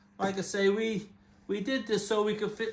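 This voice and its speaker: A man speaks in a high voice with an English accent. His intonation stays fairly even. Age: 70s. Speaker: motorcycle vlogger. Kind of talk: casual tutorial. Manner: halting.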